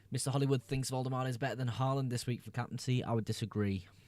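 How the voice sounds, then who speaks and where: A man speaks at a very fast pace with a medium pitch. His intonation stays fairly even. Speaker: fantasy football streamer. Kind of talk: live stream chat. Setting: live stream. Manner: casual, hesitant with fillers.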